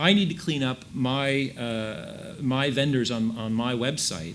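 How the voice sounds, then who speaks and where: Over noticeable background noise, a man speaks at a fairly high pitch with an American accent. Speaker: ad tech industry panelist. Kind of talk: panel discussion.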